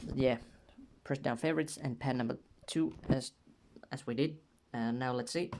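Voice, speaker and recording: A man at a medium pitch with a non-native accent, long, frequent pauses, and light background noise. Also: ordinary pitch variation, moderate pace. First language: not English. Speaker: music production tutorial maker. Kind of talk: tutorial; casual tutorial. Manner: casual, with fillers and repetitions. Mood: playful, joking. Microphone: phone near.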